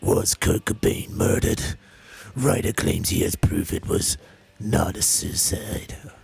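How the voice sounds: Booming and dramatic, a man puts on a character voice, speaking at a fairly slow pace and a fairly low pitch.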